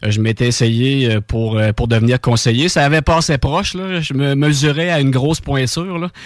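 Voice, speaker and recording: In a normal speaking voice, a man holds a medium pitch with ordinary pitch variation and moves at a moderate pace. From Quebec, Bellechasse region. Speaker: radio co-host. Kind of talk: casual radio chat. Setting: radio studio.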